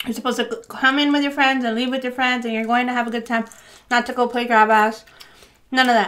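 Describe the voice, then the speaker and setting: A woman's high pitch at a very fast pace, with monotone, flat intonation. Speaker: food vlogger. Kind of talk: casual mukbang storytelling chat. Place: home room.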